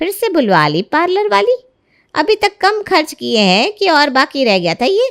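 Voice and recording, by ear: In a put-on character voice, a woman speaks at a fairly slow pace with a high pitch, a fairly bright tone, and big pitch swings, on a very clean recording with a silent background.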